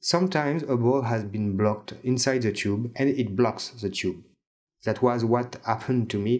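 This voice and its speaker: A man speaks with a French accent at a moderate pace. His pitch is medium, with ordinary pitch variation. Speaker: DIY tips video maker. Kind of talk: tutorial.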